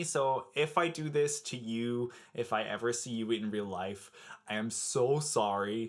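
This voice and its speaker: Over a very clean recording with a silent background, a man with an American accent speaks fairly slowly at a medium pitch with ordinary pitch variation. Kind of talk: casual talk to camera.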